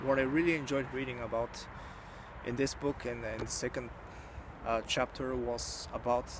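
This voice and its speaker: A man's medium-pitched voice with a Bulgarian accent, monotone and flat, at a moderate pace with long, frequent pauses over noticeable background noise. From Bulgaria, rural village. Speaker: YouTuber, book reviewer. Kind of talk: book review monologue. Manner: halting, many fillers.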